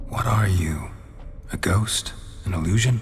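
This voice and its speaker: A man uses a put-on character voice at a fairly low pitch and a moderate pace. Clear music plays in the background. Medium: machinima. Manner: terse, level.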